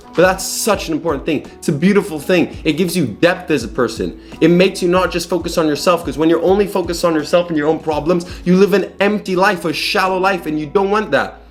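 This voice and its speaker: A loud man with a high-pitched voice, very fast delivery and ordinary pitch variation, over background music. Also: hardly any pauses. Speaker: self-improvement youtuber. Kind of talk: casual vlog monologue. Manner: loud and hyperactive; verbal tics.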